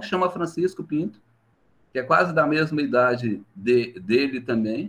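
This is an ordinary speaking voice with lively intonation, delivered at a moderate pace. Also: man. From Minas Gerais, Brazil (Vale do Jequitinhonha). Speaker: history professor. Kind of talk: interview.

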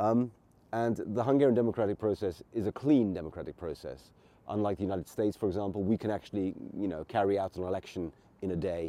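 A man with an English accent, a dark, mellow tone and a fairly low pitch, at a very fast pace with ordinary pitch variation. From England. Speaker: political commentator podcaster. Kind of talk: solo commentary monologue. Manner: halting, many fillers.

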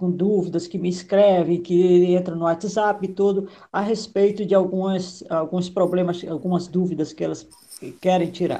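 A woman talks at a fairly slow pace in a medium pitch, her tone dark and mellow. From Maranhão, Northeast Brazil. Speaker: political consultant and live host. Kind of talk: live interview. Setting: video call livestream.

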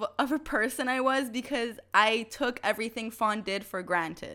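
Animated and bright, with a sharp tone, a woman speaks at a fairly quick pace. Her pitch is high. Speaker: podcast host. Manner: chatty, animated.

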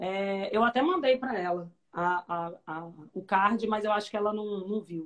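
A woman speaks in an unremarkable speaking voice at a medium pitch. Her pace is fairly slow, with ordinary pitch variation. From Rio de Janeiro, Brazil. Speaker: public defender, interviewer. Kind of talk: interview conversation. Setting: video call.

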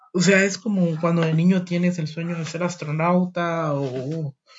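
A man's high voice unfolds at a fairly slow pace. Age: 20s. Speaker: podcaster. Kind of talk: personal monologue. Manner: halting, many fillers.

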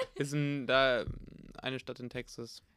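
Speech comes at a fairly slow pace with fairly even intonation. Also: man. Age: 20s. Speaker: university student and podcast co-host. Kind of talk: casual chat. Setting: home recording, sitting across from sister.

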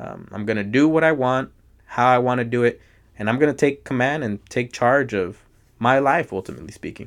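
The man has a plain, everyday voice at medium pitch, moving at a fairly quick pace with ordinary pitch variation. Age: 20s. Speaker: podcast guest. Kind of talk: casual chat.

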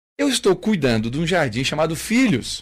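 A man with a fairly high pitch is captured on a very clean recording with a silent background. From southern Brazil, Santa Catarina (Criciúma). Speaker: pastor and former army sergeant. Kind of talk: radio interview. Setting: radio studio.

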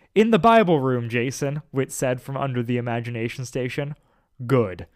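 With ordinary pitch variation, the reading voice sounds unforced.

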